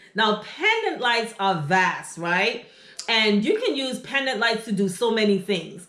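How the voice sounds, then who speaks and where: A woman at a fairly high pitch and a very slow pace, with audible room echo and noticeable background noise. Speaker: interior design YouTuber. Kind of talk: tutorial. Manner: casual, conversational with fillers.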